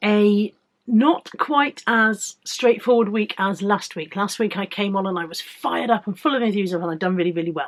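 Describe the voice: Pitch varies in an ordinary way as the words come at a moderate pace. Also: woman, medium pitch for a woman.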